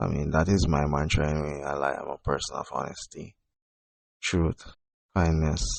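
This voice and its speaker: Using monotone, flat intonation, a man speaks at a moderate pace with long, frequent pauses. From Jamaica. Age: 30s. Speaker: podcast host and poet. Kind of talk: personal monologue podcast. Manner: quiet, not very loud; halting, many fillers.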